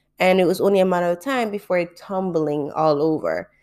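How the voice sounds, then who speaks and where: Her dark, mellow voice sits fairly low for a woman, with fairly even intonation and a moderate pace, on a very clean recording with a silent background. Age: 20s. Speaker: podcast host, graduate student. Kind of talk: personal monologue.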